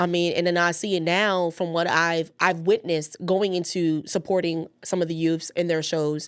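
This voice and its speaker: A woman speaks at a moderate pace in a fairly low pitch, her tone animated and her loudness very even, with hardly any pauses on a very clean recording against a silent background. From New York, the Bronx. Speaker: youth community worker, parent. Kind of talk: casual chat.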